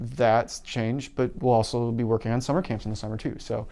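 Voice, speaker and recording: With an Upper Midwest accent, a man speaks at a medium pitch in a monotone, flat intonation. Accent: Upper Midwest American. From Wisconsin, La Crosse area. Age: 30s. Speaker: university events staff. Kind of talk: interview. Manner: halting, frequent fillers.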